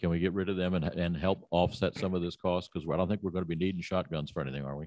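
A man's low, slightly mellow voice at a fast pace, with fairly even intonation and a dry, close sound with no echo.

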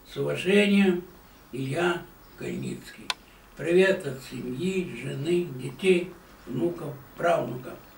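A man with a fairly high pitch talks at a very slow pace, with long, frequent pauses and ordinary pitch variation. Audible room echo and light background noise come through. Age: 80s. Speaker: retired newspaper photographer. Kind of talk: recorded video greeting. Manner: formal. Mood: warm, calm, sentimental. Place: home room. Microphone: camera far.

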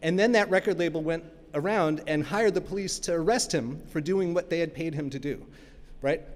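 A man with an American accent and a high-pitched voice speaks at a fairly quick pace. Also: ordinary pitch variation. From New York (Brooklyn); New York. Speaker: academic keynote speaker on copyright; keynote speaker. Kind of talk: keynote lecture. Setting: stage with audience. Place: stage. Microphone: podium.

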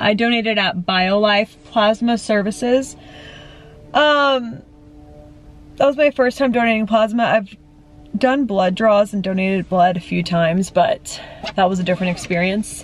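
A woman talks at a moderate pace with ordinary pitch variation, leaving long, frequent pauses. Faint music plays in the background, and the sound is dry with no echo. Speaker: vlogger. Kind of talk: casual vlog chat.

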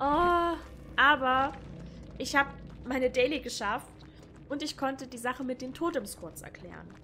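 In a raised, projected voice at a high pitch, a woman speaks at a moderate pace with long, frequent pauses and big swings in loudness. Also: ordinary pitch variation. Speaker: gaming streamer. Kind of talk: commentated gameplay. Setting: home recording, gaming setup.

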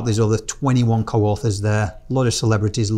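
Here a man speaks at a fairly quick pace. His voice is somewhat breathy. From Yorkshire, England; lived 17 years in Australia. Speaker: podcast guest, campaign co-founder. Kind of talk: interview answer. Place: studio. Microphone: lapel.

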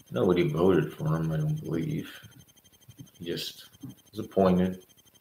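Over light background noise and audible room echo, a man speaks quietly in a very deep, low voice with a dark, mellow tone and lively intonation. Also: moderate pace. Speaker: political commentator. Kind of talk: livestream monologue. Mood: critical political commentary. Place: home room. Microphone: webcam.

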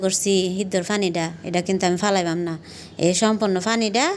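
With a normal speaking voice, a woman talks at medium pitch using fairly even intonation. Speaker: vlogger. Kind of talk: casual vlog narration. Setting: at home.

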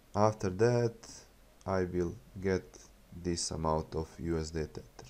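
In a Bosnian accent, a man speaks in a dark, mellow tone with lively intonation. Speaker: YouTube crypto channel host. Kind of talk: tutorial. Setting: screen recording voiceover. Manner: halting, with filler words and repetitions.

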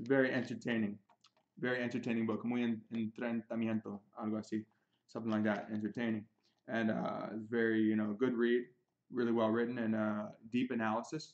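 A man's fairly quick, monotone delivery at a medium pitch, flat in intonation. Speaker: chess teacher. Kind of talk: tutorial. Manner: halting, self-correcting in Spanish; switches between Spanish and English. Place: home room. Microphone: webcam.

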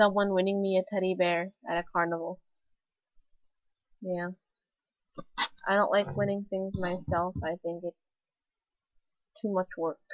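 A woman talks at a fairly slow pace with long, frequent pauses and a medium pitch. Her intonation is monotone and flat, the sound is dry with no echo, and the background is quiet. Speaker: vlogger. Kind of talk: casual vlog monologue. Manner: put-on weird voice; halting with pauses. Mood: playful, self-mocking. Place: home room. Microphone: webcam.

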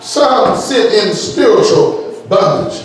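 In a room with strong echo and light background noise, a man talks in an animated tone with ordinary pitch variation. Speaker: preacher. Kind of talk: sermon. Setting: church. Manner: animated, call-and-response preaching, urging the congregation to say amen. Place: church.

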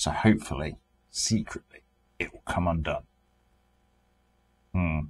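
Speaking with a British accent, a man moves at a fairly slow pace with long, frequent pauses. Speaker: car restoration YouTuber. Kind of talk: casual vlog narration. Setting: in a shipping container workshop. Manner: weary, low energy. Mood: wry, resigned humour. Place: garage. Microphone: phone near.

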